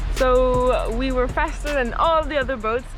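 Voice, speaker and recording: With a French accent, a woman talks at a high pitch over noticeable background noise. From France. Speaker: sailing vlogger. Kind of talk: casual vlog narration. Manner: halting.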